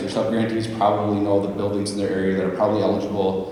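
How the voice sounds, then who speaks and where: A man with an American accent and a fairly low pitch, amid noticeable background noise and audible room echo. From Minnesota. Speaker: weatherization program presenter. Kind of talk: conference presentation. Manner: loud.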